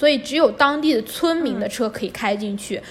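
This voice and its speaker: Noticeable background noise accompanies a woman talking at a fairly quick pace with ordinary pitch variation. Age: 20s. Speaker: budget backpacker and photographer. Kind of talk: casual interview.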